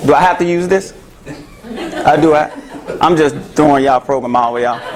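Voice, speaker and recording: Crowd noise fills the background as a man talks with a Memphis accent. His pitch variation is ordinary. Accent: Southern US (Memphis). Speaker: therapist. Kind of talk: talk to an audience. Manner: loud; animated.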